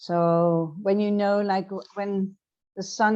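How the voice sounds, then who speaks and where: A woman speaks in a Dutch accent at a medium pitch. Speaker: transformational coach. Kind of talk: interview. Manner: halting.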